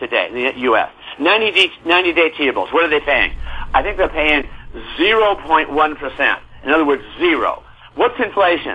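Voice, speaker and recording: Noticeable background noise sits behind this recording. A man with an American accent speaks high and fairly quickly. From US. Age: 70s. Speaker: real estate newsletter publisher. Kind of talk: interview. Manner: animated; halting.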